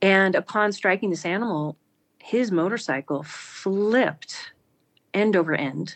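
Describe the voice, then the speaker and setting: In an American accent, a woman speaks at a fairly slow pace with an unremarkable speaking voice. Her pitch is medium, with ordinary variation. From US, Montana (rural). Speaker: spiritual storyteller, former corporate businesswoman. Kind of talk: personal testimony in interview.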